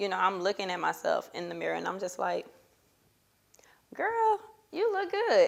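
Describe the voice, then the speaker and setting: A woman is talking. She keeps a moderate pace. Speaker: poet and author. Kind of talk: interview answer. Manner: casual, hesitant.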